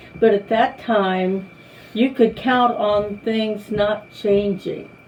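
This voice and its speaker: A woman talks at a medium pitch, with noticeable noise behind her. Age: 80s+. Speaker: longtime church member. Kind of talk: oral history interview. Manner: halting.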